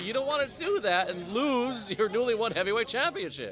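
Over crowd noise, a man's raised, projected voice runs at a fairly quick pace with an extremely high pitch and very wide pitch swings. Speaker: wrestler and color commentator. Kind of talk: live wrestling color commentary. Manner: brash, sarcastic.

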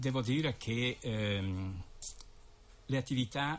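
A man talks at a very slow pace, his voice somewhat breathy. His pitch varies in an ordinary way. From Lombardy, northern Italy. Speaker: president of a local tourist association. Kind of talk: casual radio interview. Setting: radio studio. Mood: calm, matter-of-fact. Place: studio.

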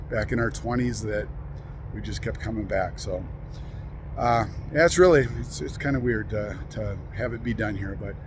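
Noticeable background noise surrounds a man talking at a moderate pace with long, frequent pauses, the sound dry with no echo. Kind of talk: casual vlog chat. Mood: wistful, reflective. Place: open country. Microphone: phone near.

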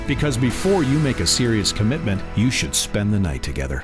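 Clear music plays behind a man with a fairly low pitch. He speaks at a fairly quick pace with very wide pitch swings. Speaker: voice actor. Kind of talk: TV commercial read. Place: studio.

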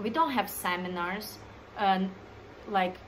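A woman speaks at a fairly slow pace with ordinary pitch variation. Her tone is bright and sharp, and there is light background noise. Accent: non-native. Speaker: dancer, choreographer, creative director. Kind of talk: casual talk to camera. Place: home room. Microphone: phone near.

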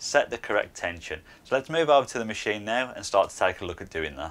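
The speaker talks at a fairly quick pace with vocal fry. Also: man. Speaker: maker channel host. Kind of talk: tutorial. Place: workshop. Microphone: lapel.

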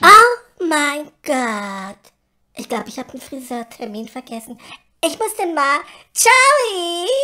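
Someone puts on a character voice at a fairly slow pace. The pitch swings very widely. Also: female-sounding voice, high pitch for a woman. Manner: prissy, affected, theatrical.

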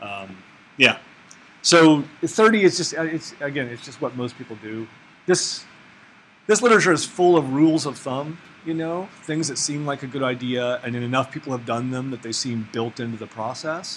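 A man at a fairly high pitch and moderate pace, lively in intonation, his loudness swinging widely over light background noise. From Oklahoma. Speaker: ecology researcher teaching a workshop; workshop instructor. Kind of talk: workshop lecture. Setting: classroom with audience. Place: classroom.

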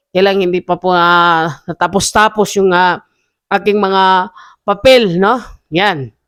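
A very slow voice with a Visayan accent, on a very clean recording with a silent background. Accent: Visayan-accented Tagalog. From Visayas, Philippines. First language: Cebuano (speaking Tagalog). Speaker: entrepreneur vlogger. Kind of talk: casual vlog monologue. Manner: halting, many fillers.

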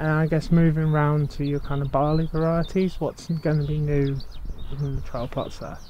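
A man talks in a monotone, flat intonation over light background noise. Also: moderate pace, dry sound with no echo. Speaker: agricultural media interviewer. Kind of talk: interview. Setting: outdoors. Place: farm.

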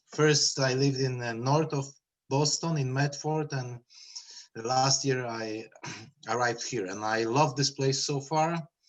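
Speaking with a Polish accent, a man keeps a medium pitch. His pace is fairly slow and his intonation fairly even. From Poland. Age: 30s. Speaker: school committee candidate. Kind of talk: public meeting interview. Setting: video call. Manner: halting.

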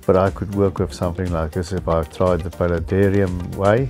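A man speaks at a moderate pace with a very deep, low pitch and fairly even intonation. Faint music plays in the background. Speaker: hobbyist vlogger. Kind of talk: casual tour commentary. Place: shop.

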